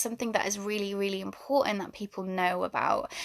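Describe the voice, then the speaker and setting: A woman speaks in a British accent at a medium pitch. Her intonation stays fairly even. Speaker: spiritual wellness coach. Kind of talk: livestream talk. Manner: fast.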